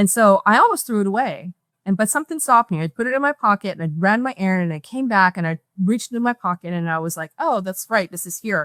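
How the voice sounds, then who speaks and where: Speaking at a very fast pace, a woman with a medium pitch is captured in a dry, close sound with no echo on a very clean recording with a silent background. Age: 60s. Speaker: near-death experiencer and memoir author. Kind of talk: interview testimony. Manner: halting, with frequent repetitions.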